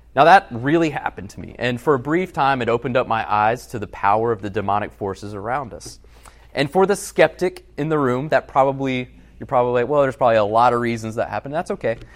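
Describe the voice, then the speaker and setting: A man talks at a very fast pace with a medium pitch and lively intonation. His loudness swings widely. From Alabama. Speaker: pastor. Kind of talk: sermon.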